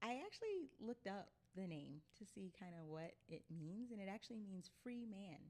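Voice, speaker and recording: In an American accent, a woman speaks at a moderate pace and medium pitch with lively intonation. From Illinois, US. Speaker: travel advocate. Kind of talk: interview. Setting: livestream studio.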